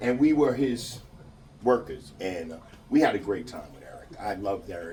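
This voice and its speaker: Amid noticeable background noise and audible room echo, a man with an American accent talks at a fairly quick pace. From New York. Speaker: mourner giving eulogy, construction worker. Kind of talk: eulogy speech. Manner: loud. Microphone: speaking without a microphone.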